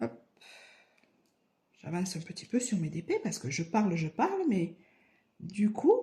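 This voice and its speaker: With a southern French accent, a woman speaks at a fairly slow pace with long, frequent pauses, a dark, mellow tone, a somewhat breathy sound, a medium pitch and lively intonation. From southern France, Aveyron (Rodez). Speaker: crafts YouTuber. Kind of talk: casual vlog answering questions. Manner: hesitant, many fillers and repetitions.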